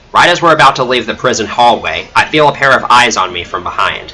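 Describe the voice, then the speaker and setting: A man speaks at a moderate pace with a medium pitch and a dramatic tone. His pitch swings very widely. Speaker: streamer reading own story. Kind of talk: reading aloud. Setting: livestream. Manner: non-dramatic reading.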